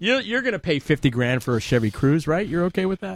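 With an American accent, a man uses lively intonation in an ordinary speaking voice, recorded dry and close with no echo. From Long Island, New York. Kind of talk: casual banter.

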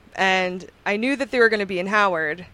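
Very clean and free of background sound, this recording has a woman speaking at a moderate pace. She has a Long Island accent and ordinary pitch variation. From Long Island, New York. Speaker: musician and DJ. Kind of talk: casual chat.

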